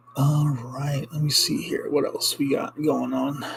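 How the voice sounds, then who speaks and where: With background noise clearly present, a man talks at a medium pitch. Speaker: ring maker and small business owner. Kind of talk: casual livestream chat. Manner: quieter than usual; many fillers and hesitations.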